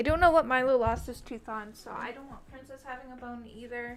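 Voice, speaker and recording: Over music in the background, a woman speaks in a high pitch at a moderate pace with fairly even intonation. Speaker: vtuber streamer. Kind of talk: casual chat. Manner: loud.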